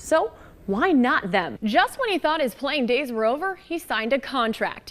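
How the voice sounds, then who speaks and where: Noticeable background noise accompanies a woman whose intonation is lively and whose pace is moderate. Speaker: sports broadcaster. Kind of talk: sports news anchoring.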